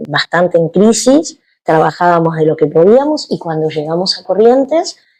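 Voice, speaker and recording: The speaker is a woman with a dark, mellow tone. She talks at a moderate pace. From Argentina, Buenos Aires. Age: 60s. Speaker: yoga teacher. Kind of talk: interview.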